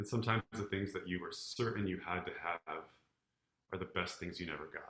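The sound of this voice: Audible room echo surrounds a man's low-pitched voice with a bright, sharp tone. He talks at a fairly quick pace with ordinary pitch variation.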